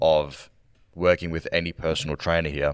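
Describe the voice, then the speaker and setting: Monotone, flat intonation comes at a moderate pace in a very clean, dry, close recording with a silent background and no echo. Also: man. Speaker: senior fitness coach.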